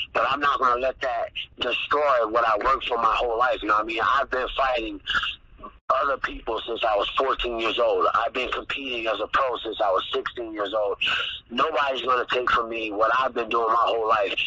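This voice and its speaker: A man with an American accent talks at a fairly quick pace. Noticeable background noise runs underneath. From US Midwest. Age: 30s. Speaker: mixed martial arts fighter. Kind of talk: casual interview.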